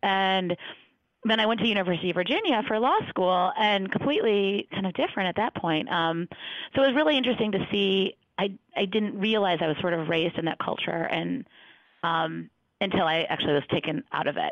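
An American-accented woman speaks at a medium pitch and a fairly quick pace. Her intonation is lively and her loudness very even. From Detroit area, Michigan. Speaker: pro bono counsel at a law firm. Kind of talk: interview. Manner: frequent filler words (um, uh).

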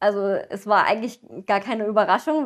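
The background is quiet. A woman speaks. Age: 20s. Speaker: veterinary student and pony owner; interviewee. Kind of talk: interview. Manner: hesitant, many fillers. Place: home room.

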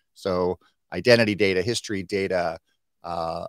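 The voice has fairly even intonation, with a quiet background and a dry sound with no echo. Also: man. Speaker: digital marketing consultant; guest. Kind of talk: live stream interview. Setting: video call. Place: home room. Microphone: webcam.

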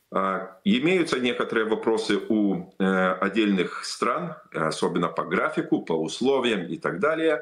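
Against a quiet background, the speech runs at a fairly slow pace with very wide pitch swings. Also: man, medium pitch for a man. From Lithuania. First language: Lithuanian (speaking Russian). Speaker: politician. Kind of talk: interview. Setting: remote video link. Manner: halting. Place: home room. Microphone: video call.

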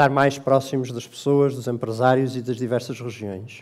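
A man's medium-pitched, dark, mellow voice at a moderate pace, with fairly even intonation. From Portugal. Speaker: bank executive; bank executive host. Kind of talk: formal speech. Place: hall. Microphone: headset.

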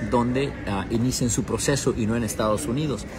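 Over clear background music, a man speaks at a moderate pace with ordinary pitch variation. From Mexico, Durango. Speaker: TV journalist. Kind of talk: casual livestream chat. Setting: airport. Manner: hesitant, many fillers. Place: station. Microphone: earbuds.

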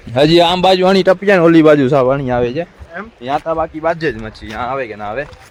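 Amid noticeable background noise, a man with a fairly high pitch uses lively intonation, his loudness swinging widely. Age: 20s. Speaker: fishing vlogger. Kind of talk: casual outdoor vlog narration. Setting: outdoors.

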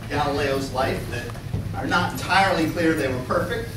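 A man talks over noticeable background noise. Room echo is audible. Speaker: lecturer. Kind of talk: lecture. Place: classroom. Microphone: camera far.

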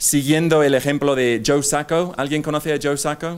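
Speaking with an English accent, a man uses a fairly high pitch. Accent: English accent in Spanish, non-native. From England. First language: English (speaking Spanish). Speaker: speaker, journalist. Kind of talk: conference talk. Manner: halting, many fillers. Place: hall. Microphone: podium.

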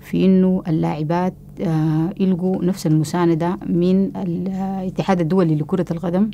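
Against light background noise, a woman talks at a fairly slow pace with hardly any pauses. Her fairly low voice holds a flat, monotone line. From Sudan. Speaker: women's football activist. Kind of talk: testimony. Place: home room. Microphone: lapel.

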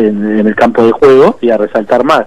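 The speaker is a man talking at a fairly quick pace. The sound is dry with no echo. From Uruguay. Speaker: football coaching staff, former player. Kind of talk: radio interview. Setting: phone call. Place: studio. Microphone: studio mic.

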